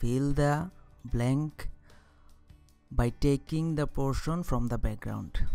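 Music plays in the background. The speaker, who has a non-native accent, talks at a very slow pace. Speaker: software tutorial narrator. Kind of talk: screen-recording tutorial narration.

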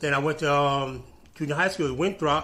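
A bright, sharp tone at a moderate pace. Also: man. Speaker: interviewee. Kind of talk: interview answer. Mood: animated, laughing storytelling. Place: office.

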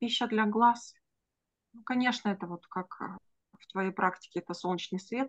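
A woman's fairly bright voice at medium pitch, ordinary pitch variation and a moderate pace

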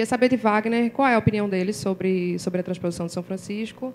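Light background noise sits behind a woman's plain, everyday voice. She talks at a fairly quick pace with a medium pitch. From Brazilian Northeast. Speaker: journalism course student, audience questioner; questioner. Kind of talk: audience question. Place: hall. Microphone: handheld.

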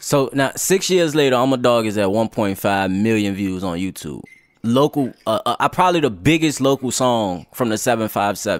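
A man speaks at a medium pitch and a fairly slow pace, with lively intonation. The sound is dry with no echo, and the background is quiet. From Newport News, Virginia; Virginia. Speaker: podcast host. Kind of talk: casual interview. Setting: studio. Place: studio. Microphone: studio mic.

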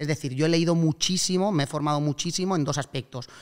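A man speaks fairly quickly in a fairly high voice with fairly even intonation, an ordinary speaking voice. The background is quiet. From Spain, Alicante; Spain. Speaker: real estate investor and startup co-founder; podcast guest. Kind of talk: casual interview chat.

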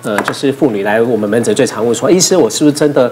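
Over light background noise, a man talks at a very fast pace with lively intonation. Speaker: gynecologist. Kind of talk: casual talk show chat. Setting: studio. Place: studio. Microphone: lapel.

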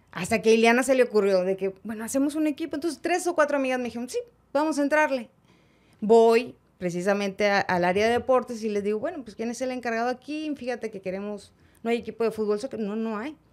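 Over a quiet background, a woman talks at a very fast pace with fairly high pitch. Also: ordinary pitch variation. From Mexico, Monterrey; Nuevo León, Mexico. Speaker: sports journalist. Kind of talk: interview. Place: studio. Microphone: studio mic.

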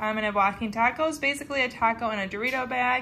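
Over light background noise, a woman talks at a fairly quick pace. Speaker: mom vlogger. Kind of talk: casual vlog chat. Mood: cheerful, amused. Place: home room. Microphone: phone near.

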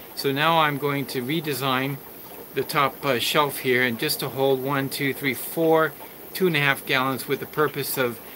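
A man at a fairly slow pace with fairly even intonation, over noticeable background noise. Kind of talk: casual tutorial vlog. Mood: calm, explanatory. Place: home room. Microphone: phone near.

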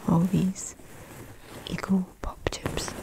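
Someone whispers in a gentle tone. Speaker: unboxing creator. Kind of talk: soft unboxing chat, ASMR-like. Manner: soft-spoken ASMR voice, close and gentle.

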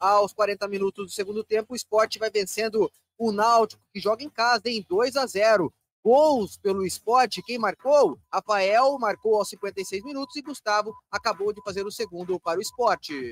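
The man speaks at a moderate pace. His pitch sits high. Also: ordinary pitch variation, dry sound with no echo. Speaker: radio host. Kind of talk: radio sports show hosting. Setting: studio. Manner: animated.

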